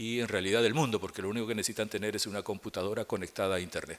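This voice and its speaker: The man's voice is fairly low in pitch and monotone, with flat intonation. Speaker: program coordinator. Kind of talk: formal opening remarks.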